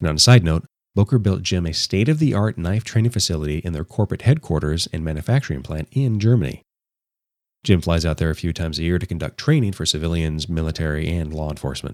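A man with a very deep, low pitch speaks very fast with ordinary pitch variation, in a dry, close sound with no echo on a very clean recording with a silent background. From Los Angeles. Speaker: knife reviewer, podcaster. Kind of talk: recorded product review.

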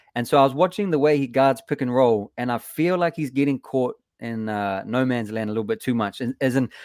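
A man with a New Zealand accent talks at a fairly quick clip in a fairly high pitch for a man, his intonation lively and the sound dry and close with no echo. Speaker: musician and Warriors fan guest. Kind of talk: casual sports chat. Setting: video call from overseas.

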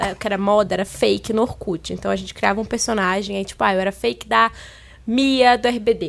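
Here a woman talks at a fairly quick speed. The background is silent and the recording very clean. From Minas Gerais, Brazil. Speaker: Instagram influencer. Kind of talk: casual chat.

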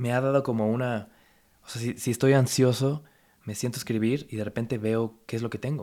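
A man with a Mexican accent speaks at medium pitch in a dark, mellow tone with monotone, flat intonation. His pace is fairly quick, and the recording is very clean with a silent background. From Mexico. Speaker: photographer and content creator. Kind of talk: casual chat.

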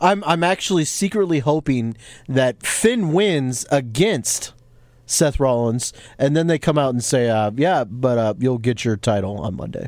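With lively intonation, a man talks at a fairly slow pace. His pitch is medium. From Latin American heritage. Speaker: wrestling podcast co-host. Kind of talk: casual chat. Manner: animated.

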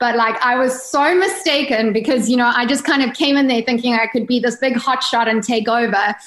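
A woman with a South African accent talks at a high pitch and moderate pace, with ordinary pitch variation. Noticeable background noise runs underneath. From South Africa, Durban area (East Coast). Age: 30s. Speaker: yacht crew member and book author. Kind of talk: casual interview chat.

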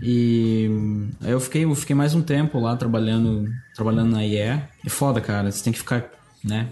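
Over noticeable background noise, a man talks at a medium pitch and a fairly slow pace, with fairly even intonation and very even loudness. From Brazil, interior of Paraná (Cascavel). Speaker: art director. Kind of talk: casual interview chat.

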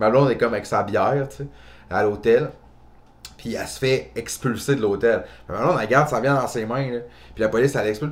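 In a Quebec accent, a man talks with long, frequent pauses and big swings in loudness. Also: medium pitch for a man, ordinary pitch variation. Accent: Québécois French. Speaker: comedian. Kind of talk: casual chat.

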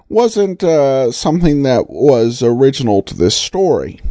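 A man's very slow speech comes over noticeable background noise. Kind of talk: podcast host intro and outro, casual commentary.

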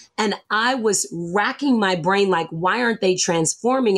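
This woman has a normal speaking voice. Her pitch is medium, with ordinary pitch variation. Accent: American. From US South. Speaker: business coach. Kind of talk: interview.

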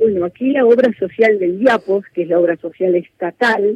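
A normal speaking voice from a woman, medium in pitch, with lively intonation. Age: 60s. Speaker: politician, former mayor. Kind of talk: radio interview.

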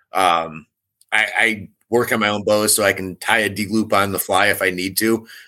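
A man with a fairly low pitch and a bright, sharp tone, monotone and flat in intonation, at a moderate pace, on a very clean recording with a silent background. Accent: Upper Midwest. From Michigan. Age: 40s. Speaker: competitive archer and bowhunter. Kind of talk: casual interview.

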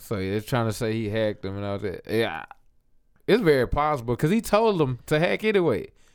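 Very wide pitch swings mark a man speaking at a medium pitch and a fairly quick pace on a very clean recording with a silent background. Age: 20s. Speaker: podcast guest. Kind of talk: casual chat.

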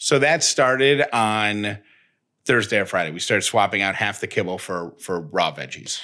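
A man with an American accent speaks at a moderate pace in a fairly low pitch, with lively intonation and a bright, sharp tone. The recording is very clean, with a silent background. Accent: slight Syracuse accent, noted by a listener. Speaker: podcast co-host. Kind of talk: casual chat.

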